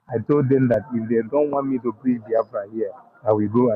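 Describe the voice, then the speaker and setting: A man speaks in a Nigerian accent at a moderate pace. His voice sits at a medium pitch. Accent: Nigerian Igbo English. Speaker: caller on online talk stream. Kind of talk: passionate call-in speech. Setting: waiting at a train station.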